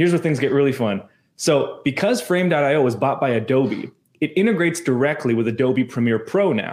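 Speaking with a Canadian accent in a plain, everyday voice, a man talks at a fairly quick pace with a fairly high pitch and lively intonation, captured in a very clean recording with a silent background. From Canada. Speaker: church media entrepreneur. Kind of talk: casual interview chat.

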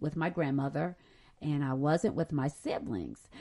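The speaker has a warm, animated tone with ordinary pitch variation. The background is quiet. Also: woman. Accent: Southern US. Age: 50s. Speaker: podcast host and Bible teacher. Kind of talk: sermon-like Bible lesson. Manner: warm, animated, conversational.

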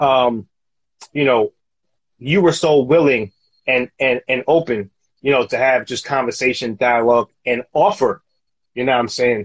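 At a moderate pace, a man with a medium-pitched voice and ordinary pitch variation speaks with long, frequent pauses. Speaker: podcast host. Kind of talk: casual chat. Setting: Instagram live video. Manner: halting, filler-heavy.

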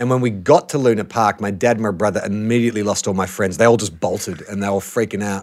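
A man with an Australian accent, fairly low-pitched, at a very fast pace with hardly any pauses and fairly even intonation. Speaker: actor and podcaster. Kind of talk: casual chat. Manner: relaxed, chatty.

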